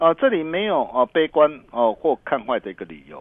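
The speaker moves at a moderate pace. The pitch swings very widely. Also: man. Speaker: stock market analyst. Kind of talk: radio market commentary. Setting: radio studio.

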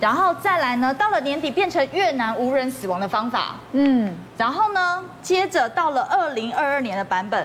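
With hardly any pauses, a woman speaks at a high pitch with very wide pitch swings over noticeable background noise. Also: moderate pace. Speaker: media commentator. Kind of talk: TV talk show discussion.

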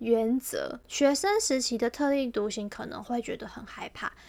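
Ordinary variation in pitch, a fairly high female voice, and a moderate pace. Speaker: podcast co-host. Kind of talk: casual chat.

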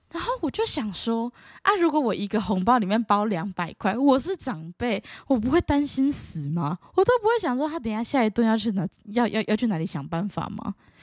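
In a Taiwanese accent, a woman speaks at a fairly quick pace with a fairly high pitch, very wide pitch swings and an animated tone, in a dry, close, very clean recording with no echo and a silent background. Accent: Taiwanese Mandarin. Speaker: podcast host. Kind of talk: casual solo chat.

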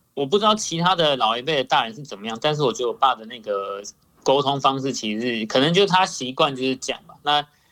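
A man at medium pitch speaks very fast with lively intonation and big swings in loudness. His tone is bright and sharp. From Taiwan. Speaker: YouTuber. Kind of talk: casual chat.

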